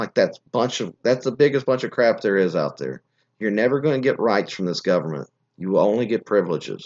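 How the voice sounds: A man speaks at a fairly quick pace with lively intonation. His pitch is fairly low and his tone slightly mellow.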